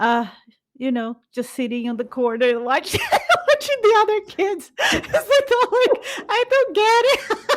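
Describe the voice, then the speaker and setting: A woman speaks with a Brazilian accent. Her pace is fairly slow. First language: Portuguese. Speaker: podcast co-host. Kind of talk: casual chat.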